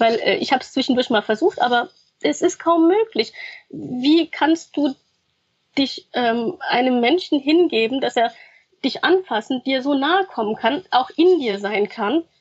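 Pitch swings very widely. The pace is moderate. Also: woman. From grew up in Germany after arriving as a refugee. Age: 30s. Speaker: former sex worker and activist, student. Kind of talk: interview testimony.

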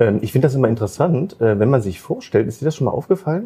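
Lively in intonation, a man speaks in a somewhat breathy voice with a dark, mellow tone. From Magdeburg, Saxony-Anhalt, Germany. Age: 30s. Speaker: entrepreneur. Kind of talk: casual chat. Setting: café, filmed livestream.

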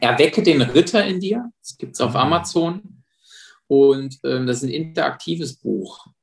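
Somewhat breathy, this voice swings very widely in pitch and shows big swings in loudness. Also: man, fairly high pitch for a man, moderate pace. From Saarland, Germany (Saarbrücken). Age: 30s. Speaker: police officer and self-defense trainer. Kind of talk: casual interview.

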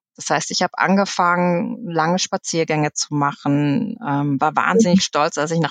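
Her pitch fairly low, a woman speaks with a normal speaking voice at a moderate pace and ordinary pitch variation, the sound dry and close with no echo. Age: 40s. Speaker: management consultant. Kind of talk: casual interview.

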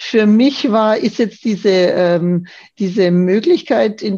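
Dark and mellow in tone, this voice shows ordinary pitch variation. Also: woman. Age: 50s. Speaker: yoga course participant, office manager. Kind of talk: casual interview. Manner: hesitant, many fillers.

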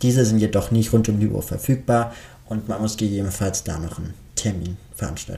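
A man speaks at a fairly quick pace in a fairly low pitch, his dark, mellow tone somewhat breathy, with ordinary pitch variation. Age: 20s. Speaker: psychology student and author podcaster. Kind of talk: podcast monologue introduction.

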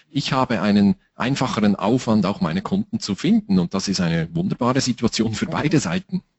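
A man talks at a medium pitch with very wide pitch swings. His pace is fairly quick, with hardly any pauses. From Switzerland. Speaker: time management trainer. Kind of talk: interview.

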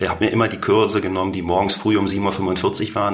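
Fairly quick speech in a normal speaking voice. The intonation stays fairly even. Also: man. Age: 40s. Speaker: business executive. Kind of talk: interview. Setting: studio office.

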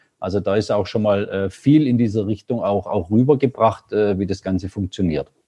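A man with a dark, mellow tone and a fairly low pitch talks at a moderate pace, with ordinary pitch variation and hardly any pauses. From rural Germany. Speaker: entrepreneur. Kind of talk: interview.

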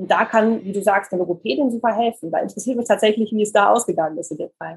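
A woman talks at a very fast pace in a medium pitch, with vocal fry, a husky, rough edge and ordinary pitch variation.

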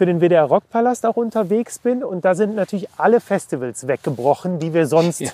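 A man speaks at a moderate pace, his pitch high and his intonation lively. The sound is dry and close, with no echo. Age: 40s. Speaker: podcast host and journalist. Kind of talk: casual chat. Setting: outdoors.

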